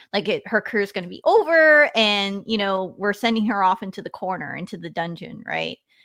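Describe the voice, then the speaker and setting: A woman with an American accent speaks in an ordinary speaking voice at a medium pitch and a fairly quick pace, with hardly any pauses. Her loudness swings widely. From US, Washington State. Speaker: retired army officer and communications executive. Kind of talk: interview.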